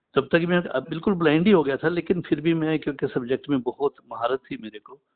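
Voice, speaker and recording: A man with a plain, everyday voice and a fairly high pitch speaks with big swings in loudness. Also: ordinary pitch variation. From Punjab, India (Patiala). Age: 60s. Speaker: retired physics teacher. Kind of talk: interview.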